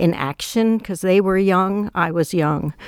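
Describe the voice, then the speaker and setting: In a plain, everyday voice, a woman speaks at medium pitch and a moderate pace with fairly even intonation. The sound is dry and close with no echo, a very clean recording with a silent background. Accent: American. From New York City. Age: 60s. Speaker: artist and magazine co-editor. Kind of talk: interview, reflective conversation.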